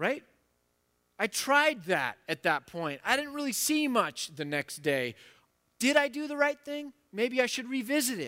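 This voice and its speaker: A man speaks extremely high and raised, projecting at a fairly slow pace, with very wide pitch swings and a bright, sharp tone. The recording is very clean and dry, close with no echo, over a silent background. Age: 40s. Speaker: pastor. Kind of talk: sermon. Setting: church.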